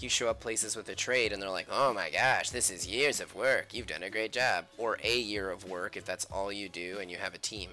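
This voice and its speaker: With music playing behind him, a man talks at a fairly quick pace with hardly any pauses, his fairly low voice moving through ordinary pitch variation. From Canada, Nova Scotia. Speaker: comic artist live streamer. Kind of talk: casual live stream chat while drawing. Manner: rambling, relaxed, conversational.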